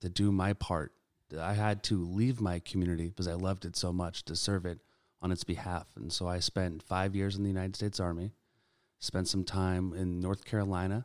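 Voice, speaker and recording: A man with an American accent speaks fairly quickly in a very deep, low pitch with monotone, flat intonation. The very clean recording has a silent background and a dry, close sound with no echo. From Sacramento, California. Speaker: political candidate and army veteran. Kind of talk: interview.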